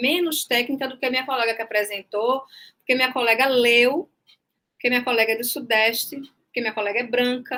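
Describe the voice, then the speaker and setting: A woman's bright, sharp, high voice in a northeastern Brazilian accent, at a fairly quick pace. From Brazil, Northeast (Recife). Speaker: journalism professor and author. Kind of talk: online panel discussion.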